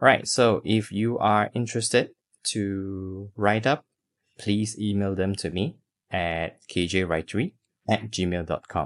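A man with a plain, everyday voice speaks at a fairly slow pace, his fairly low pitch varying in an ordinary way over a quiet background. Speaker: podcast host and poet. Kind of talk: poem read aloud, performed as spoken-word poetry; scripted podcast introduction and personal reflection.

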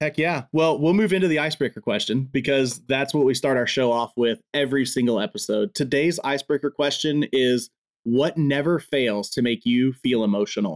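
Recorded very cleanly against a silent background with a dry, close sound and no echo, the voice moves at a moderate pace with very even loudness, hardly any pauses and ordinary pitch variation. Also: man, fairly high pitch for a man. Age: 30s. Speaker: podcast host. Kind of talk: casual interview chat. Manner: animated.

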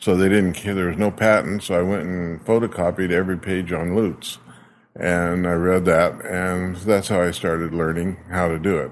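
In an American accent, a man speaks with a very deep, low pitch and monotone, flat intonation. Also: moderate pace. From Arizona, US. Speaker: luthier. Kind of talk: casual interview. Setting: workshop.

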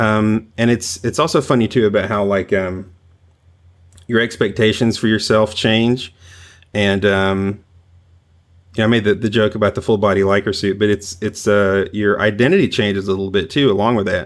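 A man with a fairly low pitch, an ordinary speaking voice and an American accent, at a moderate pace with fairly even intonation, on a very clean recording with a silent background. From US South, rural. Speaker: trombone lecturer. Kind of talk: casual chat.

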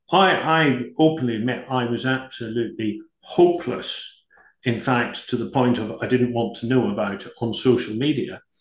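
A man at a medium pitch and moderate pace, with ordinary pitch variation and audible room echo. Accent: British. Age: 50s. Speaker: business executive. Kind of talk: interview.

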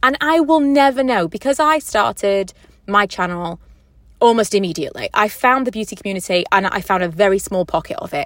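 The voice moves at a fairly quick pace with very wide pitch swings. The recording is very clean, with a silent background. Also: woman, medium pitch for a woman. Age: 30s. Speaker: podcaster and YouTuber. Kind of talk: casual solo podcast monologue. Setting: in a parked car. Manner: chatty, informal.

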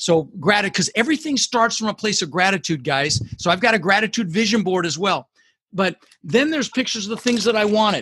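A man's high, bright, sharp voice at a very fast pace, with lively intonation and a dry, close sound with no echo. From Netherlands, moved to US at six. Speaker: entrepreneur and goal-setting coach. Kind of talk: interview with advice. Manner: emphatic.

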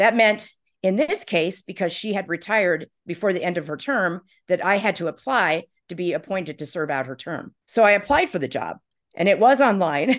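A woman speaks at medium pitch and a moderate pace with lively intonation, in an ordinary speaking voice. The background is quiet. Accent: American. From Indiana, US Midwest. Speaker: marketing executive and former city council candidate. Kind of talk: interview.

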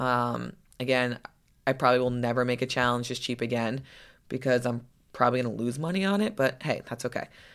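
At a moderate pace, the speaker has an upbeat tone on a very clean recording with a silent background. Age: 30s. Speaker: podcast host and lifestyle coach. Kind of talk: pep talk. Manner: upbeat, chatty; animated, encouraging.

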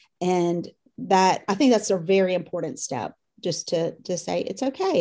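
With a Southern US accent, a woman speaks at a medium pitch with ordinary pitch variation and a dark, mellow tone, on a very clean recording with a silent background. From US South, Louisiana and Mississippi. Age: 50s. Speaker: course participant, mother. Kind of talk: interview.

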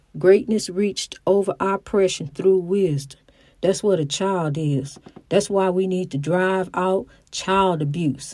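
On a very clean recording with a silent background, a woman with a Southern US accent speaks at a fairly slow pace in a dark, mellow tone. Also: medium pitch for a woman, ordinary pitch variation. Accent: Southern US, country-sounding. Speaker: podcast host. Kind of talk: inspirational monologue. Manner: halting.

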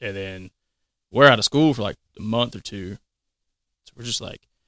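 A man with a Southern US accent, medium pitch and a bright, sharp tone, at a moderate pace, in a very clean recording with a silent background and a dry, close sound with no echo. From Mississippi. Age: 30s. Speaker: firefighter. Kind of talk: casual chat.

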